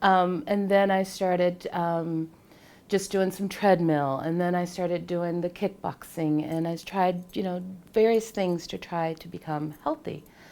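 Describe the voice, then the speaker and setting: A woman's fairly low, dark, mellow voice at a fairly slow pace, with fairly even intonation. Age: 40s. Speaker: fitness client. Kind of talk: testimony. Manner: hesitant, many fillers.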